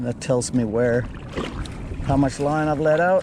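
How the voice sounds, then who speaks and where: Soft-spoken speech comes through noticeable background noise. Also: man. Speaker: kayak fishing vlogger. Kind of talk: casual commentary while fishing. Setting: outdoors on a kayak at sea.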